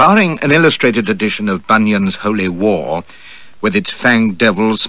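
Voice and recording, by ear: Someone is reading aloud in a natural voice.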